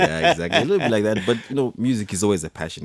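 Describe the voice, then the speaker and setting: The man talks at a very fast pace. His pitch variation is ordinary. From Zimbabwe, Harare. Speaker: musician and systems engineer. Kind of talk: radio interview. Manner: halting, many fillers.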